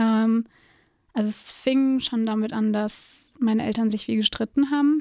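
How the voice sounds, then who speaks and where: The woman's voice is fairly high in pitch and dark, mellow in tone, captured dry and close with no echo. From Hesse, Germany (Gießen). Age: 20s. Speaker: film student. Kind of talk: testimony.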